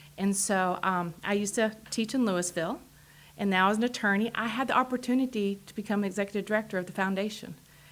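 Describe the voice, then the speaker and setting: A woman with a strong Texas accent speaks at a medium pitch with fairly even intonation. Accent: strong Texas drawl. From Texas, Amarillo. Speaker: political candidate, attorney. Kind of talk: interview.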